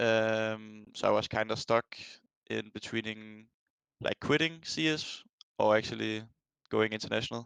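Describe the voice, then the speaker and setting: Speaking with a Danish accent, a man goes at a fairly slow pace with long, frequent pauses, using ordinary pitch variation at a fairly low pitch. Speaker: professional esports player. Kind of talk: interview. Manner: halting, many fillers.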